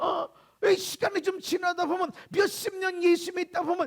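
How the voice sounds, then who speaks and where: A man with an extremely high voice speaks in an animated tone at a moderate pace. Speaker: pastor. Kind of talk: sermon.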